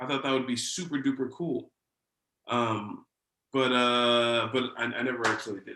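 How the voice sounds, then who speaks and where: With a bright, sharp tone, a man speaks at a moderate pace, medium pitch and fairly even intonation. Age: 30s. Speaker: talk show host. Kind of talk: casual interview.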